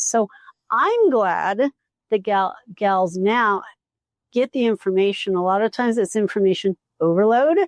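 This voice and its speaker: A woman speaks with an ordinary speaking voice at a fairly high pitch, her pitch varying an ordinary amount. The sound is dry and close, with no echo. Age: 60s. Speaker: podcast host, physical therapist. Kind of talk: casual chat. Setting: live at a retreat.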